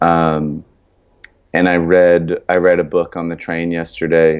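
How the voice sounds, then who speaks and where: A man talks in a very deep, low voice. His intonation is monotone and flat. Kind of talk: casual chat. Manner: quiet, low-key tone.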